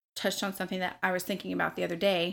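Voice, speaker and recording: On a very clean recording with a silent background, a woman talks at a medium pitch in a flat monotone with vocal fry. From US South, Memphis, Tennessee. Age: 30s. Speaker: bartender. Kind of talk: casual chat.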